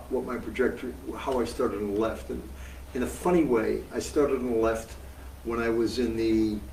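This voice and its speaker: The speaker has an American accent and lively intonation. Audible room echo and noticeable background noise fill the recording. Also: man. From US Northeast (Massachusetts). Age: 70s. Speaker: veteran socialist activist. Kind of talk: interview. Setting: live event with audience. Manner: projects well.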